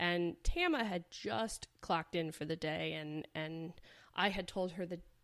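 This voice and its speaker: A woman with a plain, everyday voice speaks at a fairly slow pace, fairly low in pitch, with ordinary pitch variation. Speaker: veterinarian and podcast host. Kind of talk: podcast monologue.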